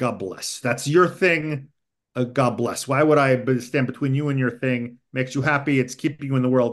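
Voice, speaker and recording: In an American accent, a man uses an ordinary speaking voice at a moderate pace, with medium pitch and fairly even intonation over a quiet background. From US East Coast. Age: 50s. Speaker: English professor and author. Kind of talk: casual interview.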